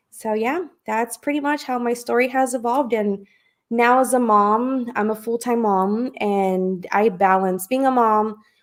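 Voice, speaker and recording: A woman speaks in an American accent at a fairly high pitch. Her pace is fairly slow. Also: ordinary pitch variation, very clean recording, silent background. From California, Fresno. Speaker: publicist. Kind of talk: interview.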